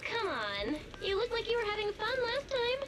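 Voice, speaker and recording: Set against loud background noise, a put-on character voice, squeaky and extremely high in pitch, goes along at a moderate pace. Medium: video game. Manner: light, playful.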